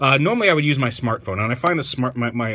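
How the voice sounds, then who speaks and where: The pitch variation is ordinary. The voice belongs to a man. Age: 30s. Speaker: toy reviewer. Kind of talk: product review. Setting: sitting on the floor at home. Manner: casual, hesitant with fillers. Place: home room. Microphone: phone near.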